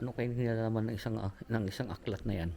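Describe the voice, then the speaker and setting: At a moderate pace, a man speaks at a fairly low pitch in a dark, mellow tone. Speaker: travel vlogger. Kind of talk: travel vlog narration. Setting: indoors, historic house tour. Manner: loud; hushed.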